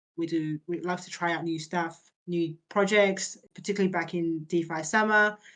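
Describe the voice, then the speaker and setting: A woman with an Australian accent at a moderate pace, ordinary pitch variation, and a quiet background. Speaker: crypto startup founder. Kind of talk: interview on community video call. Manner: halting, many fillers and repetitions.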